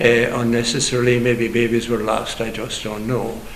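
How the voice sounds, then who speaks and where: A man with a western Irish accent and a medium-pitched voice, plus audible room echo and noticeable background noise. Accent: Irish (west of Ireland). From Ireland, County Clare. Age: 80s+. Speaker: priest. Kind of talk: interview, life story.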